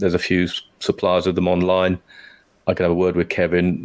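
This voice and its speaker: A man with a British accent at a fairly quick pace. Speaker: podcast co-host. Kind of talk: casual chat.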